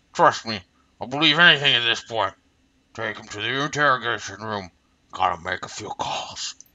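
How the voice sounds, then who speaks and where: In a put-on character voice, a man at a medium pitch speaks at a moderate pace with lively intonation, big swings in loudness and long, frequent pauses. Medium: game stream. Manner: gruff, irritable.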